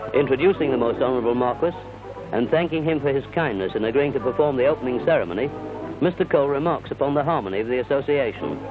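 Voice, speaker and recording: Over music in the background, a man with a medium pitch talks very fast with ordinary pitch variation. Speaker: newsreel narrator. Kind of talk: 1950s newsreel narration.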